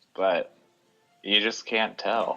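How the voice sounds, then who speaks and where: A man speaks over music in the background. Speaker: podcast co-host. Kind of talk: casual chat.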